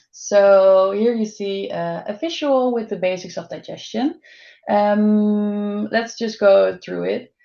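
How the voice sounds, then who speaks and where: The pace is very slow. The speaker talks with a Dutch accent. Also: woman, medium pitch for a woman, ordinary pitch variation. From Netherlands. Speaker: dietitian. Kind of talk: webinar presentation.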